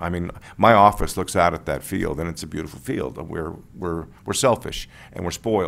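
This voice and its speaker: Vocal fry runs through this voice. It moves at a moderate pace with ordinary pitch variation. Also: man. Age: 60s. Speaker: planning commissioner. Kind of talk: public meeting deliberation.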